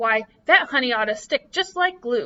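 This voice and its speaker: A put-on character voice from a woman, pitched high, delivered at a moderate pace. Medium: read story. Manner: bouncy, playful.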